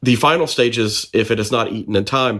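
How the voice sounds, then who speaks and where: A man speaks in a plain, everyday voice at medium pitch, with fairly even intonation. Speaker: podcast co-host. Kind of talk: casual podcast conversation.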